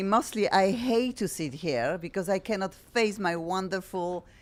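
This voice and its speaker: In a very clean recording with a silent background, a woman speaks with a strong Polish accent at a medium pitch. Her pace is fairly slow, with hardly any pauses and lively intonation. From Poland. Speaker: radio and TV talk show host. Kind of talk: talk show chat. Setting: studio with camera. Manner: energetic, animated.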